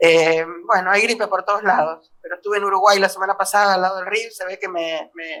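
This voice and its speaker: A woman's medium-pitched voice with a bright, sharp tone, fairly even intonation and big swings in loudness. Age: 60s. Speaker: biologist, ecologist researcher. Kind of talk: seminar talk. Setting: video call from home desk.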